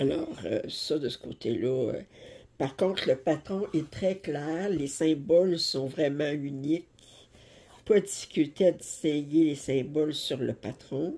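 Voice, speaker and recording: A woman with a Quebec accent speaks very slowly, with long, frequent pauses. Her voice is very deep and low, with a dark, mellow tone. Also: ordinary pitch variation. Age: 60s. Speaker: cross-stitch YouTuber. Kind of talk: casual chat and tutorial. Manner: halting. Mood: relaxed, chatty. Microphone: phone near.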